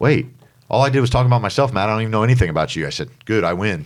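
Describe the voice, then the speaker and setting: A man talking at a very fast pace, in a very clean recording with a silent background. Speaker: business development director, guest. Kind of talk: podcast interview. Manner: loud; high energy, talkative.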